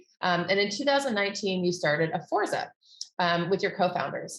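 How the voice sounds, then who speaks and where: Speaking fairly quickly, a woman with an American accent uses an ordinary speaking voice at medium pitch. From United States. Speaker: event host. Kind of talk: webinar interview. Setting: online event.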